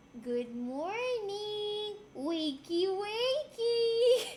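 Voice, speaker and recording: Through clear background noise, a woman does a put-on character voice at an extremely high pitch. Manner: sing-song, cheerful, waking someone.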